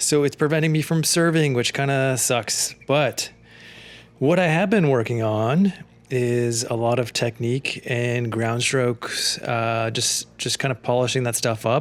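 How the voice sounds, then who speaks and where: A man's normal speaking voice at medium pitch, fairly slow, with ordinary pitch variation. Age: middle-aged. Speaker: amateur tennis player. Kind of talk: casual commentary over own gameplay footage. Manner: relaxed, conversational, many fillers.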